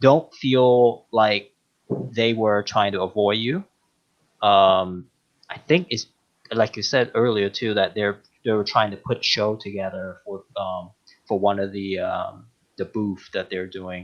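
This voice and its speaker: Fairly slow speech in a non-native accent, with long, frequent pauses and ordinary pitch variation. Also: man, fairly low pitch for a man. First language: not English. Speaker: podcast guest, longtime listener and toy collector. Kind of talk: casual chat. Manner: halting, many fillers.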